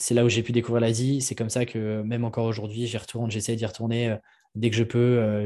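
In a very clean recording with a silent background, a man talks at a fairly quick pace with a medium pitch, a dark, mellow tone and monotone, flat intonation. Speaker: entrepreneur, media creator for freelancers. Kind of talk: casual interview. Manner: hesitant, many fillers.

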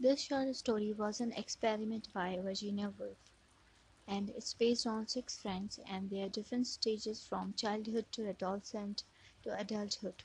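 At a moderate pace, a woman talks in a somewhat breathy, fairly high voice with fairly even intonation. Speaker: poetry podcast host. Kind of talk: reading aloud literary prose.

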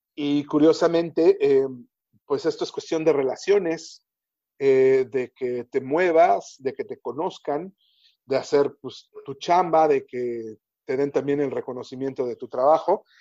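With an ordinary speaking voice, a man talks at a fairly slow pace and a fairly high pitch, his intonation fairly even. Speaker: entertainment reporter. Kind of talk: interview.

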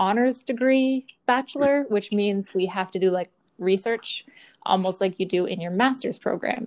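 Here is a normal speaking voice with a medium tempo. The pitch moves in a typical way. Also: woman. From Eastern Canada, Newfoundland. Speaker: program host, military family member. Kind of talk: casual chat.

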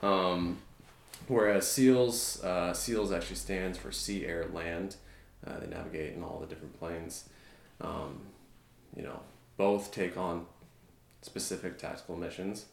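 A man speaks at a fairly slow pace in a very deep, low pitch, with ordinary pitch variation and big swings in loudness. His speech has long, frequent pauses, and there is audible room echo. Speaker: navy veteran and strength coach. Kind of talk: casual interview chat. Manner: quiet, measured.

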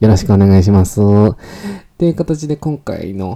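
The voice has a dark, mellow tone and moves at a fairly quick pace. The recording is very clean, with a silent background. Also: man. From Japan, Kanagawa (Fujisawa). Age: 20s. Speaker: podcast host. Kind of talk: casual solo podcast monologue. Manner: animated; stumbles over words.

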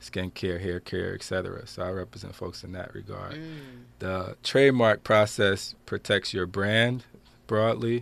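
A man in an American accent has a normal speaking voice at a fairly low pitch with ordinary pitch variation and a fairly slow pace. His loudness swings widely, and the recording is very clean, with a silent background. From New Jersey, Passaic. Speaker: intellectual property attorney. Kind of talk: radio interview.

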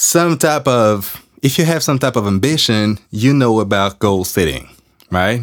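On a very clean recording with a silent background, a man with a French accent speaks at a very slow pace, his pitch swinging very widely. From France. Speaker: podcast host. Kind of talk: casual monologue. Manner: casual, rambling.

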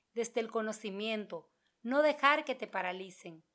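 A normal speaking voice, moderate in pace with ordinary pitch variation, comes through on a very clean recording with a silent background. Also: woman. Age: 30s. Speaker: podcast host. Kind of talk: monologue.

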